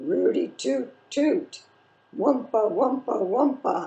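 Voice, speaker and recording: Using a put-on character voice, the speaker talks at a high pitch in a raspy tone and at a very slow pace. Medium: read story. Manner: terse.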